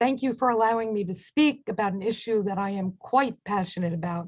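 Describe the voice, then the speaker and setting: Against a quiet background, a woman speaks at a moderate pace in a fairly high pitch. Her voice is somewhat breathy, with ordinary pitch variation. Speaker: local party chair giving public comment. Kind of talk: public comment testimony. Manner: formal.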